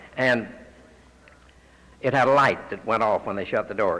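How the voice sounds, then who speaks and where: Here a man speaks with a Texan accent at a fairly quick pace. His pitch is medium and his tone is bright and sharp. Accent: Texan US Southern. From Texas, Fort Worth. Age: 60s. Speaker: AA speaker. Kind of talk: testimony.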